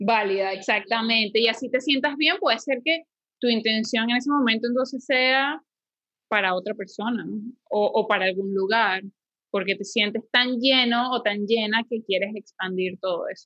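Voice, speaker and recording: A woman at a moderate pace in a Venezuelan accent, with ordinary pitch variation. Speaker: yoga teacher and podcast co-host. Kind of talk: casual chat. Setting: home living room.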